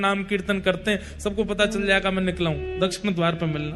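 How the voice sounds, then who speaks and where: Music plays in the background as the speaker talks at a moderate pace with ordinary pitch variation. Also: man. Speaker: religious storyteller. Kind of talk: devotional story narration.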